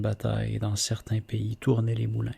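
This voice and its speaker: Soft-spoken and calm in tone, a man talks at a medium pitch and a fairly slow pace. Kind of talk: poetry reading; ASMR reading. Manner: soft-spoken, calm.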